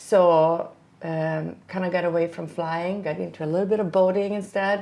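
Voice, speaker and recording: Audible room echo surrounds a woman speaking with a Swedish accent. Her fairly low pitch stays in a monotone, flat intonation at a moderate pace. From Sweden. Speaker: flight instructor. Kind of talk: casual chat.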